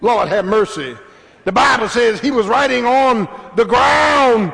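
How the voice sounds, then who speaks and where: At a fairly slow pace, a man speaks with an extremely high pitch, an animated tone, and lively intonation. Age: 60s. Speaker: pastor. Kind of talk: sermon. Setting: church.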